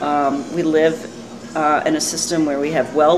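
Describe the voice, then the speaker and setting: With a US East Coast accent, a woman speaks at a very deep, low pitch, with audible room echo and noticeable background noise. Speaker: community activist. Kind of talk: informal interview statement. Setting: coffee bar after meeting.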